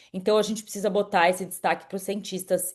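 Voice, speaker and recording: A woman talks in an animated tone. The background is quiet. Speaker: climate podcast host. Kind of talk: monologue summary. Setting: live stream.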